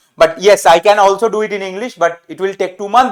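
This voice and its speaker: A man with a Bengali accent talks at a fairly quick pace in a high pitch. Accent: Bengali-Indian English. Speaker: medical teacher. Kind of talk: lecture. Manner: halting.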